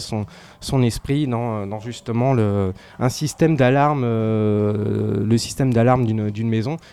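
Against a quiet background, a man at medium pitch talks in a dark, mellow tone with fairly even intonation. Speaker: film critic. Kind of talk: casual chat. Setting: pub.

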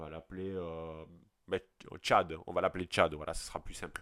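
The pace is moderate. A silent background leaves the recording very clean. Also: man. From southern French countryside. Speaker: podcast host. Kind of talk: solo podcast monologue. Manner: hesitant, many fillers and repetitions.

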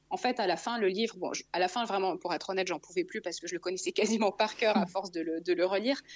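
A woman at medium pitch, racing at a very fast pace with hardly any pauses and ordinary pitch variation. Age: 30s. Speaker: author. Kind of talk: testimony. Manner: halting.

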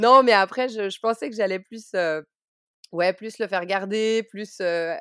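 A woman with an unremarkable speaking voice, medium pitch and ordinary pitch variation at a fairly slow pace, on a very clean recording with a silent background and a dry, close sound with no echo. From Switzerland. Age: 30s. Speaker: book publisher and mother. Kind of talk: personal testimony interview.

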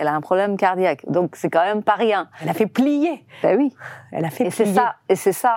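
A woman speaks at a moderate pace with a Persian accent, and the sound is dry and close with no echo. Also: medium pitch for a woman, lively intonation. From Iran. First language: Persian (speaking French). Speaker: film director. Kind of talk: interview. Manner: halting.

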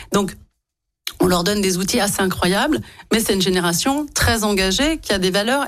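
With music in the background, a woman speaks using lively intonation. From France, Lyon. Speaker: politician and business school director. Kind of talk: radio interview.

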